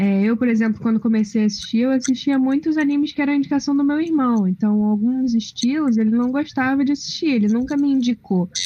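A woman's high voice in a dark, mellow tone, fairly quick, with hardly any pauses, very even loudness and ordinary pitch variation. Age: 20s. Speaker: film graduate panelist. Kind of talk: casual chat.

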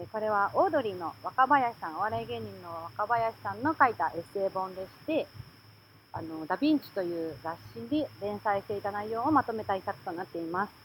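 A woman with a medium pitch talks at a fairly quick pace, her pitch swinging very widely and her loudness shifting a lot. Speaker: secondhand bookshop owner and podcast co-host. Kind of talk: casual chat.

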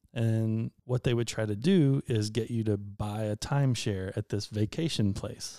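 With a dark, mellow tone at medium pitch, a man speaks fairly slowly in a dry, close sound with no echo on a very clean recording with a silent background. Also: ordinary pitch variation, hardly any pauses. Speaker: photographer. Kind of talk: casual chat. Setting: at home on the couch.

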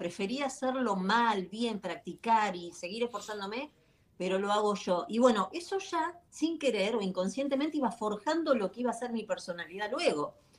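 This is a woman with an unremarkable speaking voice and a fairly high pitch. She talks at a moderate pace with lively intonation. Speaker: author, life coach. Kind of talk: interview. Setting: video call.

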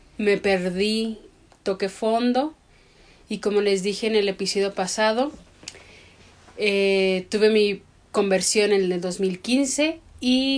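At a very slow pace, a woman speaks at a medium pitch with ordinary variation. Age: 30s. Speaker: podcast co-host. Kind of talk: casual chat; scripted narration.

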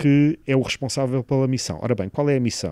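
Dry, close sound with no echo around a man's dark, mellow tone. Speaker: engineering professor, satellite project leader. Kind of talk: interview. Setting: satellite ground station room. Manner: hesitant, many fillers.

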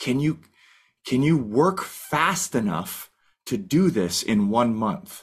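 Very slow man's voice with a Canadian accent, medium pitch, very wide pitch swings, very even loudness, and vocal fry. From Canada. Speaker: firefighter and goal-setting coach. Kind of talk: casual interview. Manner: animated.

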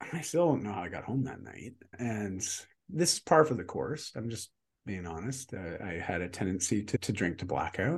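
Big swings in loudness and very wide pitch swings, somewhat breathy, at a moderate pace. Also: man, fairly low pitch for a man. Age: 40s. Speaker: fitness and lifestyle coach, keynote speaker. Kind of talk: interview conversation.

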